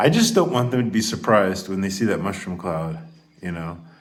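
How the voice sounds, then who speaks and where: The man here speaks at a fairly quick pace. Audible room echo surrounds his voice. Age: 50s. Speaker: YouTuber. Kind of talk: casual monologue rant. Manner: animated; halting.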